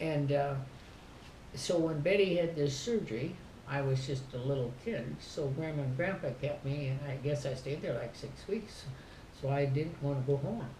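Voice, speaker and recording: Over noticeable background noise and audible room echo, a woman with an Upper Midwest accent speaks at a moderate pace in a very deep, low pitch. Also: ordinary pitch variation. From southern Minnesota. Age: 80s+. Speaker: family elder. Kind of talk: casual chat.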